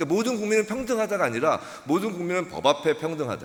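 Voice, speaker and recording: A man is speaking. His pitch is high. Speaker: pastor and lawyer. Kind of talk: lecture. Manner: fast.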